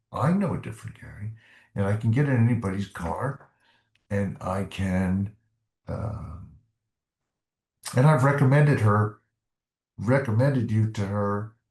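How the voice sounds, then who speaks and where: A man with an American accent speaks in a somewhat breathy voice, leaving long, frequent pauses, with ordinary pitch variation and big swings in loudness. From US South. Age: 70s. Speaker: retired doctor, ex-smoker. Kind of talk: interview testimony. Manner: halting.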